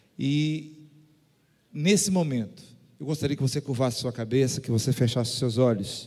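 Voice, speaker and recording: Against a quiet background, a man with a dark, mellow tone speaks at a moderate pace with ordinary pitch variation and long, frequent pauses. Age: old. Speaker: pastor. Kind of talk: sermon. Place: church. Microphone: handheld.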